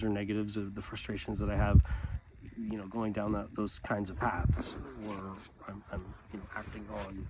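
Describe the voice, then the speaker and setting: Noticeable background noise sits behind a man speaking at a moderate pace. His pitch is fairly low, his intonation fairly even. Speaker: vlogger. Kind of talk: casual monologue vlog. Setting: outdoors in snow, recorded on phone. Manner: halting, many fillers.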